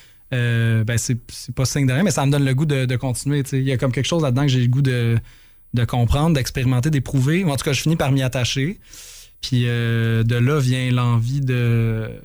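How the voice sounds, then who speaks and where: Loudness stays very even as a man speaks at a moderate pace. His intonation is fairly even. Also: medium pitch for a man. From Quebec, Saint-Hubert (Montreal South Shore). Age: 30s. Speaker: rock musician. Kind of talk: interview. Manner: halting.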